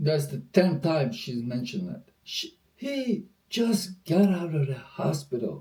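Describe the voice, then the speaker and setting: Using very wide pitch swings at a high pitch, a man with a non-native accent talks at a fairly slow pace. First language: not English. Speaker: reaction video host. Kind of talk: casual reaction commentary. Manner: animated.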